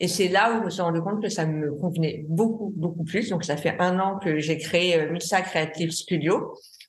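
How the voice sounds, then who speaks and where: In a room with audible echo, a woman speaks at a moderate pace and a fairly low pitch. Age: 30s. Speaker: graphic designer and art director. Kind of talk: testimony. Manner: halting.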